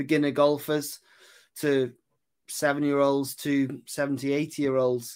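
A man's voice sits at a fairly high pitch and moves at a fairly slow pace. The background is silent in this very clean recording. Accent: Welsh. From West Wales. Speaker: golf putting coach. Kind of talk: casual chat.

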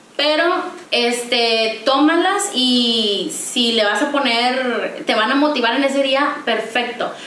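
A woman's high voice at a very slow pace, with ordinary pitch variation, very even loudness, audible room echo and noticeable background noise. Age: 20s. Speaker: psychologist. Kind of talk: casual interview.

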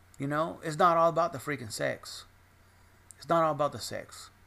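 Vocal fry at a moderate pace. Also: man. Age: 40s. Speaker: podcaster. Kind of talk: personal monologue. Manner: rambling, repetitive.

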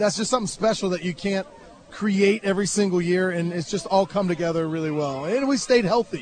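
A man with a high-pitched voice talks at a fairly quick pace while crowd noise fills the background. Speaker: high school football coach. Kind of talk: post-game interview. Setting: outdoors on a football field after a game.

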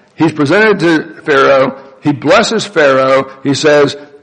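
There is noticeable background noise behind this man. He speaks at a fairly slow pace and a fairly high pitch. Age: 60s. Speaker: pastor. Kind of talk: sermon. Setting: church.

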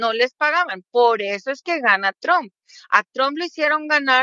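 A woman talks with a Mexican accent. Her pace is fairly slow. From Mexico, State of Mexico. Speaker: political commentator. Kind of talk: casual interview.

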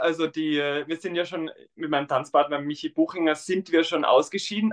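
There is an Austrian accent in this man's speech. The sound is dry and close, with no echo. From Tyrol, Austria. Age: 20s. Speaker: dancer and primary school teacher. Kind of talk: interview.

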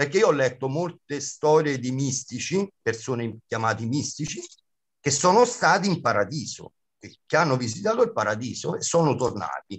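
With very wide pitch swings, a man talks at a moderate pace in a somewhat breathy, fairly high voice. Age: 50s. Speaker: comic actor and clown. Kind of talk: interview.

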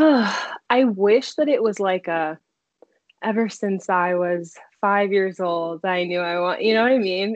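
A woman with an American accent speaks at a fairly slow pace in an ordinary speaking voice, her pitch medium with ordinary variation. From US Mid-Atlantic (Silver Spring, Maryland). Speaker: PhD student, psychology researcher. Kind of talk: casual interview.

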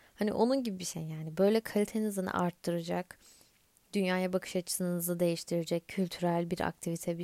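On a very clean recording with a silent background and a dry, close sound with no echo, a woman with a dark, mellow tone speaks at medium pitch and a moderate pace with fairly even intonation. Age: 20s. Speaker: podcast host. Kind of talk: casual solo podcast monologue.

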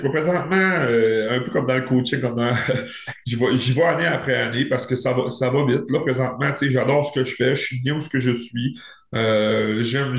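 Amid audible room echo, a man with a somewhat breathy, medium-pitched voice speaks at a fairly slow pace with fairly even intonation. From Quebec, Saguenay region. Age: 30s. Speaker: professional hockey player. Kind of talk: casual interview.

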